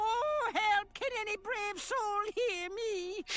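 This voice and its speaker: A put-on character voice speaks at a very slow pace in an extremely high pitch. Clear background noise is present. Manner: crying out for help.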